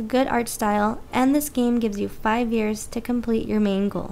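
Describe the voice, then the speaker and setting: Over music in the background, a fairly high-pitched woman talks at a moderate pace with fairly even intonation. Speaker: video game reviewer. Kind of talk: game review narration.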